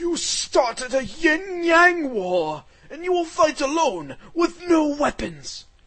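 Pitched high and delivered at a fairly slow pace, this is a put-on character voice. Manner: solemn, then alarmed.

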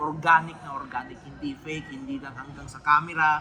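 Someone talks at a moderate pace with noticeable background noise. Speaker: vlogger commenting on TV shows. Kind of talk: casual unscripted vlog commentary. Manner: halting, many fillers and repetitions.

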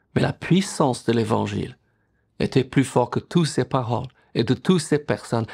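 A man's voice with vocal fry, against a quiet background. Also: ordinary pitch variation, moderate pace. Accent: English. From England. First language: English (speaking French). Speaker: pastor. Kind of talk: sermon. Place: home room.

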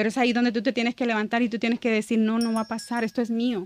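A woman's fairly high voice in a dry sound with no echo. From El Salvador. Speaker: church ministry member; podcast guest. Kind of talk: testimony. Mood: emotional, reflective testimony. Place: studio. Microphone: studio mic.

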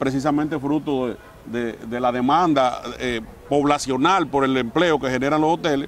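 A man speaks at a moderate pace with fairly even intonation, the sound dry with no echo and light noise behind him. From Dominican Republic. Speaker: mayor and politician; mayor, politician. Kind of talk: interview. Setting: outdoors in front of the basilica. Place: garden. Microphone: lapel.

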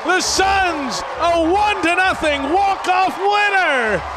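A man speaks at a very slow pace. Loud background noise is present. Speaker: baseball play-by-play announcer. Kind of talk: live sports play-by-play commentary. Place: stadium. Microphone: headset.

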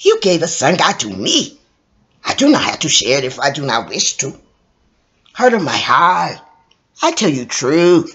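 A put-on character voice at a moderate pace, broken by long, frequent pauses. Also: man, high pitch for a man. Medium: read story. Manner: passionate, cooing, imperious.

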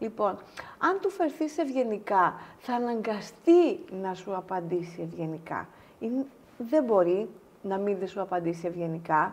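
A woman's voice with lively intonation at a fairly slow pace. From Greece, Halkidiki; Greece. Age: 50s. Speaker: pharmaceutical executive; interview guest. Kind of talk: casual interview. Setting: studio. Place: studio.

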